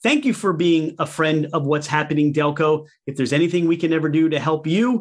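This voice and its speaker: A man speaks with a Philadelphia accent. The recording is very clean with a silent background. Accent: Philadelphia-area American. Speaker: podcast host. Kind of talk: casual interview.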